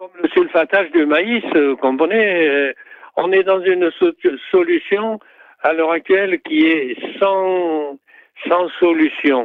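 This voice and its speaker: A man with a high pitch speaks at a very slow pace with long, frequent pauses. His loudness swings widely, and his pitch varies in an ordinary way. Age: 80s+. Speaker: acupuncturist. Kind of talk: interview. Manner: halting.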